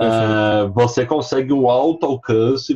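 In a dry, close sound with no echo, a man at medium pitch speaks somewhat breathily with ordinary pitch variation. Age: 30s. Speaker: marketing executive and freelancer. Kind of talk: casual chat.

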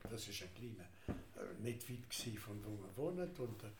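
Speaking very slowly in a fairly low pitch, a man is heard over noticeable background noise with audible room echo. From Alsace, France. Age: 80s+. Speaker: grandfather, witness of history. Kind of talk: interview. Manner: halting.

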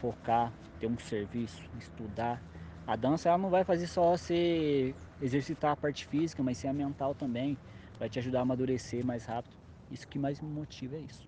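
A man with a medium-pitched, dark and mellow voice speaks with lively intonation and a somewhat breathy quality. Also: moderate pace. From interior of São Paulo state, Brazil. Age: 20s. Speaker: hip hop dance choreographer. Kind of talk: casual interview.

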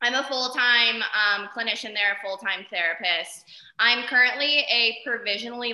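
Loud and high-pitched, a woman speaks at a moderate pace. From Arizona. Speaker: therapist. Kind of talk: interview. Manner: animated.

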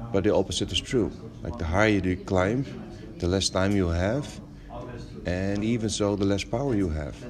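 A man talks at a moderate pace with a fairly low pitch and lively intonation. Long pauses come often. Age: 40s. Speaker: education founder and teacher. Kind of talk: interview. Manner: halting.

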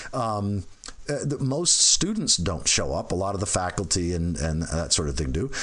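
A man with a fairly low pitch and very wide pitch swings, over noticeable background noise. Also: moderate pace. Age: 50s. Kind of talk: casual chat.

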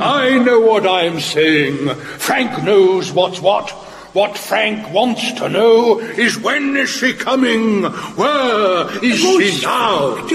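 A man puts on a character voice, pitched high and delivered at a very slow pace. Clear background noise and a clear echo fill the recording. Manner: gruff, blunt, speaks of himself by name.

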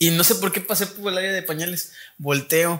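Speaking with a Mexican accent, a man uses a high pitch and a bright, sharp tone, with fairly even intonation. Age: 20s. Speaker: university student and podcast host. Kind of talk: casual chat.

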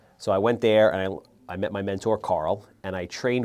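A man's fairly low, dark, mellow voice with an American accent, moderate pace and fairly even intonation, against a quiet background. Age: 40s. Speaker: real estate investor. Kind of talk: interview.

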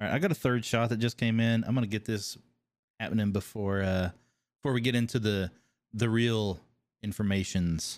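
On a very clean recording with a silent background, a man with a slight Kentucky accent and a fairly low pitch talks at a fairly quick pace, with fairly even intonation, very even loudness, and long, frequent pauses. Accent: slight Kentucky twang. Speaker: podcast host and game designer. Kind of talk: casual interview chat.

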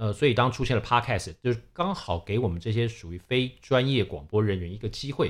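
On a very clean recording with a silent background, a man speaks fairly quickly in a somewhat breathy voice with lively intonation. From Taiwan (Taipei). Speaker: podcast co-host, events industry worker. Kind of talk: casual chat.

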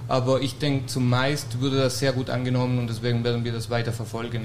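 A man speaks at a fairly quick pace. There is audible room echo and noticeable background noise. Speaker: restaurateur. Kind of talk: casual chat. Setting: stage with audience.

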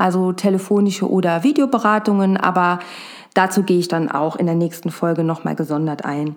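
At a fairly quick pace, a woman with a fairly low pitch and ordinary pitch variation talks over noticeable background noise. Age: 40s. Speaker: cat behaviour therapist and podcast host. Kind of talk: solo podcast monologue.

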